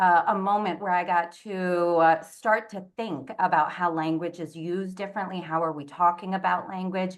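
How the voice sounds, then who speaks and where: A woman speaks at a medium pitch with a Spanish accent. The background is quiet. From Puerto Rican diaspora, raised mostly in continental US. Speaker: multilingual education panelist. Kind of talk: webinar panel talk.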